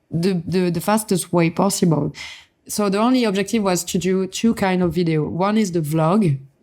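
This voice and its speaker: With a French accent, a woman talks at a moderate pace in a medium pitch with ordinary pitch variation, captured in a very clean recording with a silent background. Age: young. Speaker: motorsport influencer. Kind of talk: podcast interview.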